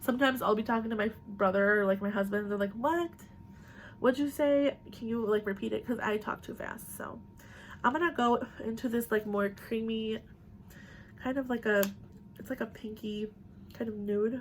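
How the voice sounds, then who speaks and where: A woman's fairly high, somewhat breathy voice broken by long, frequent pauses, with light background noise. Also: ordinary pitch variation. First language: bilingual Spanish and English. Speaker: beauty vlogger. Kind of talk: casual chat. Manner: fast. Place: home room. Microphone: phone near.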